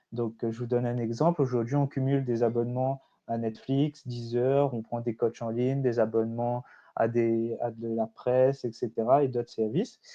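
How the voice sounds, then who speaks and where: Medium-pitched male speech in a dark, mellow tone, flat and monotone, at a moderate pace against a quiet background. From Réunion. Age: 20s. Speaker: startup founder. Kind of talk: conference presentation. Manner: hesitant, many fillers.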